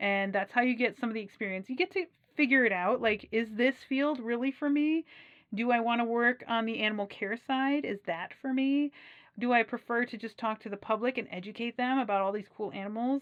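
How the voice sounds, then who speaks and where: A woman with an American accent speaks fairly quickly at a fairly high pitch with ordinary pitch variation. The sound is dry and close with no echo, over a quiet background. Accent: Wisconsin accent, slight, comes out at times. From US Midwest, Wisconsin. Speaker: aquarium professional and channel host. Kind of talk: casual advice talk to camera. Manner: animated.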